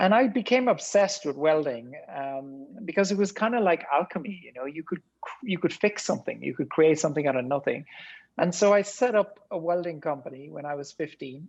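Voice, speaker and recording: Speaking with an Irish accent, a high-pitched man talks at a fairly quick pace, his intonation lively and his loudness swinging widely. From rural Ireland. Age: 50s. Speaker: tech entrepreneur. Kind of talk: podcast interview.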